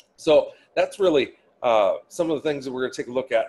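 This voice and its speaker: In a Minnesotan accent, a man talks at a moderate pace. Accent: Minnesota. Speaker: change management trainer. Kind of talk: webinar presentation. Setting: online webinar. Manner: casual, filler-heavy.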